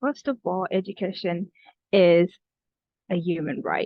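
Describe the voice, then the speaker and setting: This woman's voice sits at a medium pitch. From Kenya (refugee camp). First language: not English. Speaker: student youth advocate. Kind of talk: prepared reflections at online event. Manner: hesitant, many fillers.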